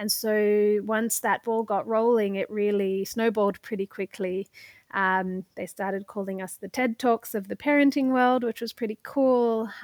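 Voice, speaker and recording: In a very clean recording with a silent background, a woman with a fairly high pitch speaks at a moderate pace with fairly even intonation. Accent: Australian. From Australia. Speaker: parenting startup founder. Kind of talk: casual interview conversation.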